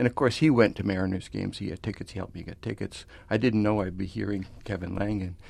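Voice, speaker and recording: Talking at a very fast pace, a man uses a fairly low voice with vocal fry. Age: 60s. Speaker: author and concert programmer. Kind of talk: radio interview discussion.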